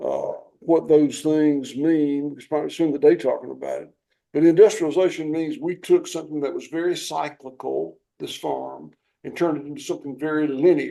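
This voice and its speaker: Fairly quick speech from a man with a Southern US accent. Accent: Southern US (Georgia). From US South, southwest Georgia. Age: 60s. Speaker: farmer. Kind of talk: interview.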